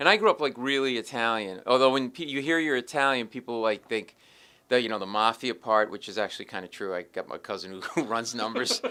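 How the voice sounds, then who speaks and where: The recording is very clean with a silent background. Speech comes at a very fast pace with big swings in loudness and ordinary pitch variation. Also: man, medium pitch for a man. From Rhode Island, New England (Providence). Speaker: comedian. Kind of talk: casual interview chat. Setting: comedy club. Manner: animated.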